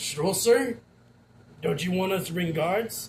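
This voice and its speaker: This man puts on a raspy character voice, high in pitch. He talks at a fairly slow pace. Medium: actual play. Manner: deferential, hesitant.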